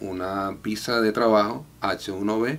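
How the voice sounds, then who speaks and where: This man has a fairly low pitch and ordinary pitch variation. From Venezuela, Valencia; Venezuela. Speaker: immigration client. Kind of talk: testimony. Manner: halting, frequent filler 'eh'. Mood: calm, grateful.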